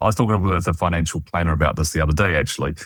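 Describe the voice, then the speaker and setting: The recording is very clean, with a silent background. A man with a New Zealand accent talks in a very deep, low voice with ordinary pitch variation. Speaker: financial planning researcher. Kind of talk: interview conversation.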